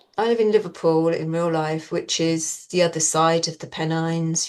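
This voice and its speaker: Her voice fairly low, a woman speaks at a fairly quick pace with a southern English accent. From southeast England (Maidstone, Kent). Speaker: actress. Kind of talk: interview.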